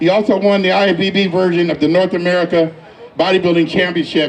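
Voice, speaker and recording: A man's high pitch at a fairly quick pace, fairly even in intonation, over noticeable background noise. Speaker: event host presenting an award. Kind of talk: induction speech. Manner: voice cracks with emotion.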